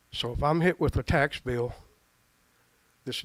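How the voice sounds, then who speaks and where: The dry, close recording with no echo captures a man speaking with a Tennessee accent. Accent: Southern US (Tennessee). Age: 60s. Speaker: retired pastor speaking at public comment. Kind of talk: public comment at county meeting. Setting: public meeting hall. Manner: halting, with repeated stumbles.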